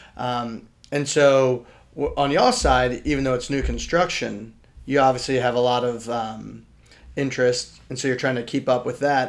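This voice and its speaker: In an American accent, a man talks at a medium pitch with monotone, flat intonation. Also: moderate pace. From Richmond, Virginia. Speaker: podcast co-host, real estate agent. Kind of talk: casual chat.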